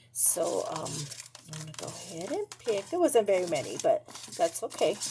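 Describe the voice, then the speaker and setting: A woman's voice jumps between loud and soft. Background noise can be clearly heard. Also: moderate pace. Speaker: paper craft tutorial host. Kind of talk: tutorial. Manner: casual, halting with fillers.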